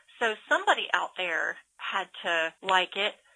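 This woman's voice sits at a medium pitch. Her tone is bright and sharp. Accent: Southern US. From Georgia. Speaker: author and illustrator. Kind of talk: interview.

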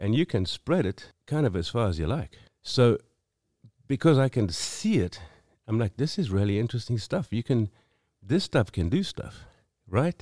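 A man in a South African accent, medium in pitch with a dark, mellow tone and very wide pitch swings, long, frequent pauses, and a dry, close sound with no echo in a very clean recording with a silent background. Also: moderate pace. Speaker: singer-songwriter. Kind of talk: casual chat. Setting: studio.

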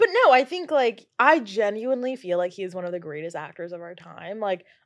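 A woman with an American accent talks at a fairly quick pace in a plain, everyday voice, medium in pitch with lively intonation. The background is quiet. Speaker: guest. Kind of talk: casual chat.

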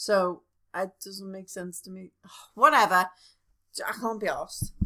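A woman with a Liverpool accent speaks at a fairly slow pace. Her tone is bright and sharp. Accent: Scouse. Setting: home recording in front room. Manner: animated, joking.

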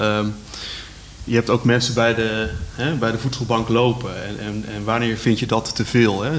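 With noticeable background noise behind him, a man talks at a moderate pace in a monotone, flat intonation. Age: young. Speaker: local politician. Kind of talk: radio discussion. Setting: live radio in a cultural centre.

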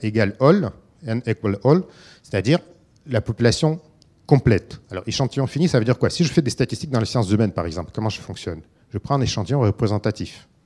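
The voice has a dark, mellow tone and lively intonation, recorded with a dry, close sound and no echo. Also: man. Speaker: philosopher and researcher. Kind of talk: lecture. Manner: halting.

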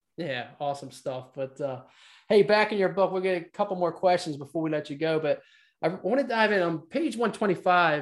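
In a plain, everyday voice, a man talks at a moderate pace with ordinary pitch variation against a quiet background. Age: 50s. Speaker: podcast host. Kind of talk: casual interview.

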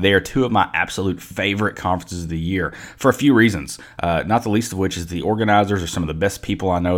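With a Kentucky accent, a man talks at a very fast pace. His pitch varies an ordinary amount. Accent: Southern US (Kentucky). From Kentucky (Mayfield, western KY). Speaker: podcast host, information security practitioner. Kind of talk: casual interview chat.

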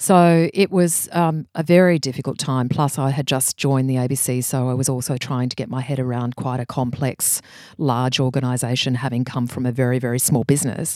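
Someone with an Australian accent talks at a fairly quick pace with hardly any pauses, on a very clean recording with a silent background. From Australia, Brisbane. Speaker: creative director. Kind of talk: interview. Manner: animated.

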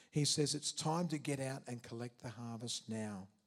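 The speaker has an Australian accent. The pace is moderate, with ordinary pitch variation. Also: man. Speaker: prison chaplain and preacher. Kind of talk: sermon. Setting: church.

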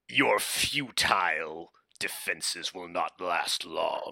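A man puts on a raspy character voice and speaks at a very slow pace. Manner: menacing, theatrical.

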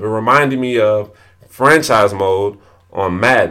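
A man speaks with a bright, sharp tone and lively intonation. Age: 20s. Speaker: podcast host and entrepreneur. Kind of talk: solo podcast monologue. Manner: repetitive, halting with frequent restarts.

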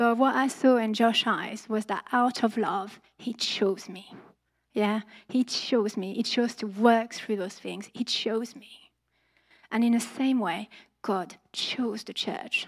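A woman speaks at a very slow pace, her fairly high pitch held in fairly even intonation. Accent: French. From France. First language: French. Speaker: church preacher. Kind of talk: sermon. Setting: church.

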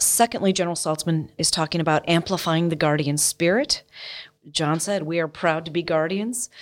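In an American accent, a woman with a fairly low pitch and ordinary pitch variation talks at a moderate pace in a plain, everyday voice. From United States. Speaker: military officer. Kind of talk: interview.

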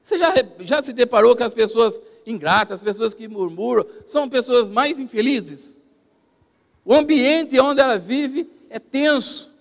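In an extremely high pitch, a man talks at a fairly slow pace with lively intonation and big swings in loudness. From Brazil, São Paulo state interior (Piracicaba region). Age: 50s. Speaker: pastor. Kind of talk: sermon. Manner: halting.

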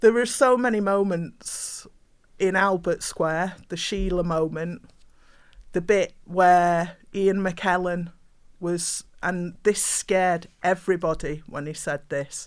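A woman with a Mancunian accent speaks at a very slow pace, fairly low pitch and fairly even intonation on a very clean recording with a silent background. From Manchester, England. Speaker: poet and playwright. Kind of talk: panel discussion.

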